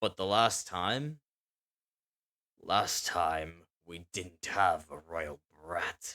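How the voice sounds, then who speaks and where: A man uses a put-on character voice that is gruff, raspy and very deep, with ordinary pitch variation, speaking at a very slow pace with long, frequent pauses. The recording is very clean with a silent background and a dry, close sound with no echo. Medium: read story. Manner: mocking.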